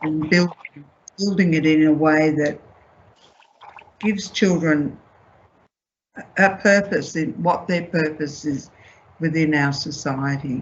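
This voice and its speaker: A woman with an Australian accent speaks very slowly at a very deep, low pitch, somewhat breathy, with fairly even intonation and long, frequent pauses. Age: 70s. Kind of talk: panel discussion.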